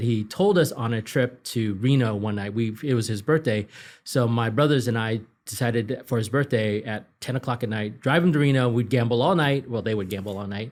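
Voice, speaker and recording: Speaking in a Cantonese accent, a man of medium pitch keeps a fairly quick pace. The recording is very clean with a silent background. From Northern California (Marysville), born in Hong Kong. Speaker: political consultant and author. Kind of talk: interview.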